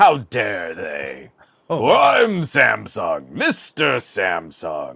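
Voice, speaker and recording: In a raspy put-on character voice, a man speaks at a very slow pace. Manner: indignant, pompous.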